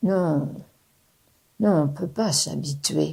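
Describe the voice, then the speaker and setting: A woman's very deep, low, somewhat breathy voice, dark and mellow in tone, very slow in pace, with lively intonation. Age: 80s+. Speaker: retiree. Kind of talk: interview testimony.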